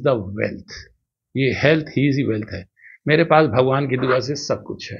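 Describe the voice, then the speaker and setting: Somewhat breathy and fairly high in pitch, a man's voice shows big swings in loudness. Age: 60s. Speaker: doctor and marathon runner. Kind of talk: interview.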